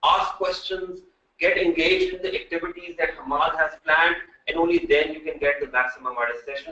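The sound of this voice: With fairly even intonation, a man speaks in a bright, sharp tone. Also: fairly high pitch for a man, fairly quick pace.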